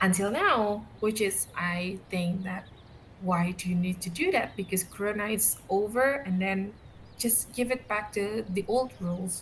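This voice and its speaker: With an Indonesian accent, a woman speaks fairly slowly at a medium pitch with ordinary pitch variation. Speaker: podcast co-host. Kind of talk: casual chat.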